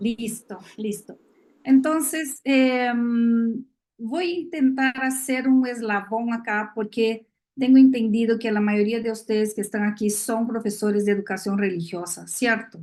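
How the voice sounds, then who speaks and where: Her pitch fairly high and varying in an ordinary way, a woman speaks at a fairly slow pace. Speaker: neuroscience education expert speaker. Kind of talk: lecture. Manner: many filler hesitations.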